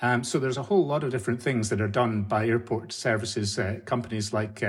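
With fairly even intonation, the man talks in a somewhat breathy voice. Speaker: former airline services CEO. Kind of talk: interview.

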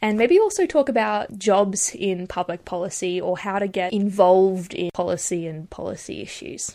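A woman's dark, mellow voice with an Australian accent, medium in pitch with ordinary variation, at a moderate pace with hardly any pauses and big swings in loudness, on a very clean recording with a silent background. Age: 20s. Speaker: podcast host and public policy student. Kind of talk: scripted introduction monologue.

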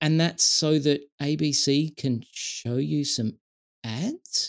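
A man with an Australian accent, very slow delivery, long and frequent pauses. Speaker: tech industry veteran and digital rights advocate. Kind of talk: casual interview conversation.

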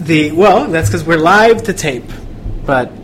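A man speaks at a moderate pace with lively intonation. Noticeable background noise runs behind him. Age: 20s. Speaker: podcast host and reporter. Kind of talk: interview.

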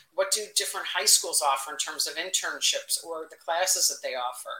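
At a fairly quick pace, a woman talks with a Chicago accent over noticeable background noise. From Chicago, Northwest side. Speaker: marketing executive. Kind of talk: interview. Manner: blunt, direct.

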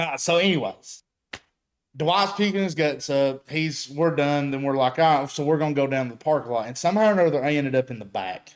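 Talking fairly quickly, a man with an unremarkable speaking voice and fairly high pitch shows ordinary pitch variation. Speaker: off-road builder.

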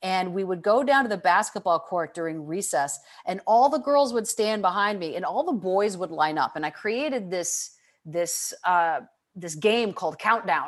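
A woman with an American accent, medium pitch, lively intonation and a moderate pace, against a quiet background. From Michigan, US Midwest. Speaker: leadership consultant and author. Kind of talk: interview conversation.

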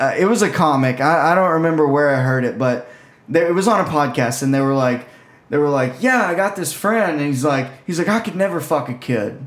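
Here is a plain, everyday voice from a man at a fairly high pitch. He talks at a fairly quick pace with lively intonation. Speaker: podcast co-host and comedian. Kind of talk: casual chat.

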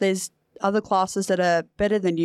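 A woman speaks at a medium pitch. The sound is dry and close with no echo, on a very clean recording with a silent background. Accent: Australian. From New South Wales, Australia. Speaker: para footballer. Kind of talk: casual chat.

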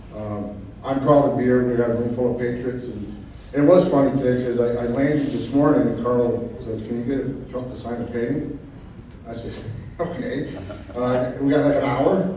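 A man speaks at a moderate pace with medium pitch. His intonation is fairly even, and background noise is noticeable. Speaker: organization CEO and speaker. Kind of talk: speech at event.

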